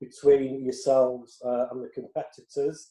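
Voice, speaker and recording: This man has a dark, mellow tone, a fairly high pitch and a Yorkshire accent. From Yorkshire, northern England. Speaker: tennis reporter. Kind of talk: interview.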